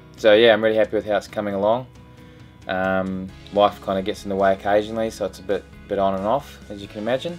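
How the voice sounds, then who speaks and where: Faint music plays in the background as a man talks at a very fast pace. His intonation stays fairly even. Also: fairly low pitch for a man. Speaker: boat builder vlogger. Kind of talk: casual vlog chat. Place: home room.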